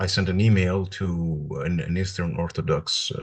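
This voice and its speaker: A man with a Greek accent speaks at a very slow pace in a very deep, low voice, somewhat breathy, with fairly even intonation. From Greece (Athens). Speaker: religious studies PhD student. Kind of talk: interview conversation. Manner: halting, many hesitations.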